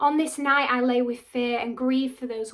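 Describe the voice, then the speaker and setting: A high-pitched woman with a northern English accent, at a moderate pace with fairly even intonation. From Wigan, North West England. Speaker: actor and spoken word artist. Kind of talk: spoken word poetry performance. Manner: impassioned, defiant.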